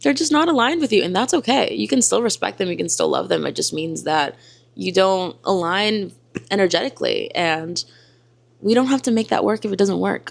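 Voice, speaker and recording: This woman has a slight Spanish accent. She talks at a fairly quick pace. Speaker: lifestyle and self-help content creator. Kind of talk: motivational vlog talk.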